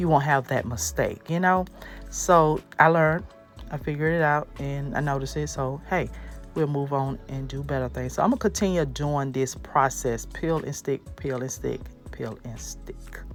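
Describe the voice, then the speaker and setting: Music plays in the background as a woman talks. Her tone is upbeat and her pace moderate. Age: 30s. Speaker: DIY home decor creator. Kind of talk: casual DIY tutorial voiceover. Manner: chatty, upbeat.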